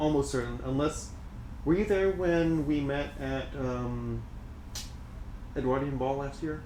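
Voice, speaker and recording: A man speaks at a moderate pace with long, frequent pauses, and audible room echo is heard. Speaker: streamer's friend. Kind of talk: casual chat. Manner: loud, projected stage voice. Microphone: far from mic, in kitchen.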